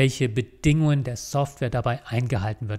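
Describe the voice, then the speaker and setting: Talking at a very fast pace, a man sounds somewhat breathy and uses ordinary pitch variation. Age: 40s. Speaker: lawyer and law firm owner; lawyer. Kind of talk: scripted monologue to camera (recruiting video). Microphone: studio mic.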